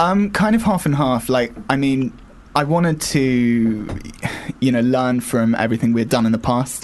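A man speaking at a moderate pace, very even in loudness, with ordinary pitch variation over noticeable background noise. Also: medium pitch for a man. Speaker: indie band member. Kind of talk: casual interview.

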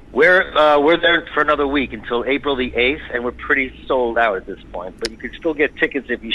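With noticeable background noise, a man speaks with ordinary pitch variation and big swings in loudness. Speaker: stage actor. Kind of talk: interview. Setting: phone call.

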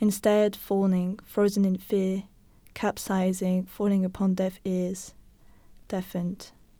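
The voice has a dark, mellow tone and flat, monotone intonation, moving at a fairly slow pace on a very clean recording with a silent background. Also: woman, medium pitch for a woman. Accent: non-native. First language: not English. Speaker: podcast co-host. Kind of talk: reading poetry aloud.

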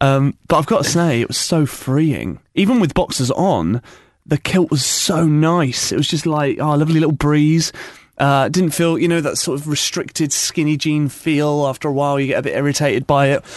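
A man's fairly high voice with a British accent. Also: fairly even intonation, moderate pace. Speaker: radio host. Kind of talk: casual chat. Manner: joking, banter.

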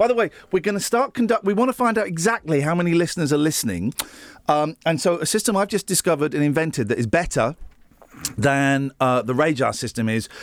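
Speaking with a southern English accent at a very fast pace, a man sounds animated, his fairly high pitch swinging very widely in a dry, close sound with no echo. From Buckinghamshire, England. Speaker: breakfast radio host. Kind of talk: casual chat.

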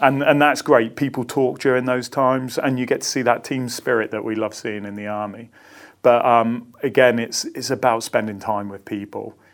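A man with an ordinary speaking voice talks at medium pitch and a moderate pace, his intonation fairly even but his loudness swinging widely, on a very clean recording with a silent background. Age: 40s. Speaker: army senior soldier. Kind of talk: interview. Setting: office.

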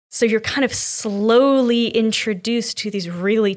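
The pace here is moderate. It is a plain, everyday voice. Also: woman, very clean recording, silent background. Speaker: university student and writer. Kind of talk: casual chat.

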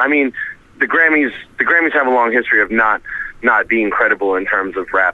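A man talks at a fairly quick pace in a plain, everyday voice. His pitch shows ordinary variation. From US, Rhode Island. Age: 30s. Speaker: rapper. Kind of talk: interview. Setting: phone call.

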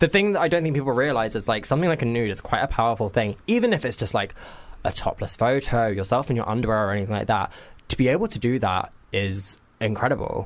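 A man with a southern English accent speaks at a very fast pace and medium pitch, with lively intonation. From Cambridgeshire, England. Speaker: photographer. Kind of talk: casual chat. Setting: studio.

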